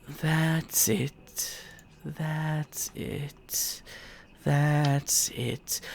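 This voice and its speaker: A put-on character voice comes through at a low-to-middle pitch. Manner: very gentle, soothing.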